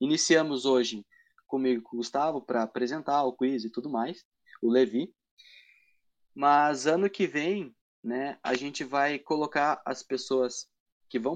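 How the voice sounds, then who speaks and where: A normal speaking voice from a man, medium in pitch with ordinary pitch variation, against a quiet background. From Brazil, Paraná (Matinhos). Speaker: church quiz project creator. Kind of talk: interview.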